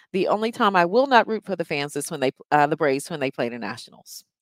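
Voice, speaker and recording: A woman's fairly low voice with an American accent and very wide pitch swings, on a very clean recording with a silent background and a dry, close sound with no echo. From US South, rural North Carolina. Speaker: traffic reporter. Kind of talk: interview.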